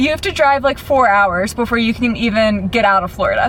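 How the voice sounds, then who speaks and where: A woman speaks in an American accent at a moderate pace. There is noticeable background noise. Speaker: vlogger. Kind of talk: travel vlog to camera. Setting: in a car.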